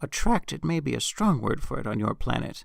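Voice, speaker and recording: A man puts on a character voice at a fairly high pitch. He delivers it at a fairly quick pace. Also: very clean recording, silent background. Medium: read story. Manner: wry, teasing.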